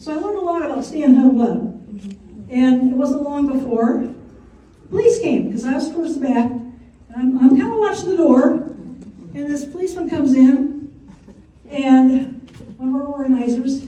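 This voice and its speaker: Over noticeable background noise and audible room echo, a woman with a high pitch talks at a moderate pace, taking long, frequent pauses. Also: ordinary pitch variation. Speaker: retired teacher and community organizing member. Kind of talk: personal testimony.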